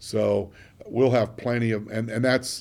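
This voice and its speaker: Speaking with an American accent, a man keeps a monotone, flat intonation at a medium pitch. His pace is fairly slow. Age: 60s. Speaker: city mayor. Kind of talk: radio interview. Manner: hesitant, many fillers.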